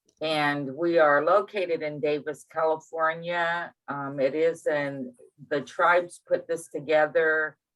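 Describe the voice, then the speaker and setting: Her pitch is very deep and low for a woman. She talks at a fairly slow pace in a monotone, flat intonation. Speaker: youth residential program supervisor. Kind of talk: participant comment. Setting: video call.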